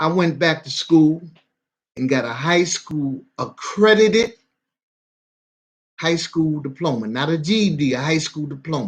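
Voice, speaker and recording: Long, frequent pauses break up the fairly slow delivery, and the pitch varies in an ordinary way. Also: man, fairly high pitch for a man. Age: 60s. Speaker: vlogger. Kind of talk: casual monologue. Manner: halting.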